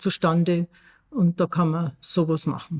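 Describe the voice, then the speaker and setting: At a fairly slow pace, a woman with a plain, everyday voice speaks in a fairly low pitch. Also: dry, close sound with no echo. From Austria, Tyrol. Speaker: podcast co-host. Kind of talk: casual chat.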